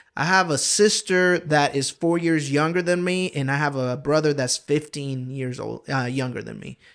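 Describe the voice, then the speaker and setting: A man with a strong Honduran accent, a moderate pace and ordinary pitch variation, on a very clean recording with a silent background. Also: fairly high pitch for a man, hardly any pauses. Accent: thick Honduran Spanish. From Honduras, raised partly in Georgia, US. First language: Spanish. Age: 30s. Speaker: pastor. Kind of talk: casual interview chat. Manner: casual, hesitant with fillers.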